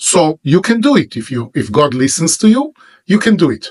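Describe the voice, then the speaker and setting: Speaking with an Israeli accent, this voice moves at a fairly slow pace with very wide pitch swings. The sound is dry and close, with no echo. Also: man. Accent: Hebrew-accented English. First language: Hebrew. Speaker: religious teacher. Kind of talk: monologue to camera.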